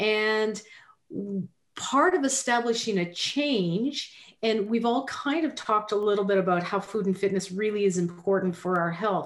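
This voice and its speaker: A plain, everyday voice at a moderate pace, with ordinary pitch variation and very even loudness. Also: woman, fairly high pitch for a woman. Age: 50s. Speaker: podcast co-host. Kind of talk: casual chat.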